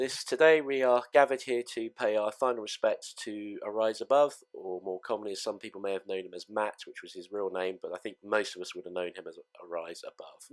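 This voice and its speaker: A man with an English accent speaks with big swings in loudness. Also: dry, close sound with no echo. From England. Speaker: gaming fleet leader. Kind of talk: memorial speech. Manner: halting.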